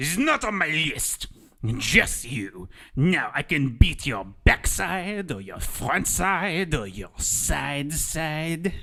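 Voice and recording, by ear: A man's put-on character voice, fairly high for a man, at a very slow pace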